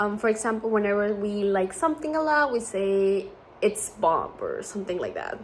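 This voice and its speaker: Over noticeable background noise, a woman with a Spanish accent speaks at a moderate pace and medium pitch with ordinary pitch variation. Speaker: student. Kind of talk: class presentation.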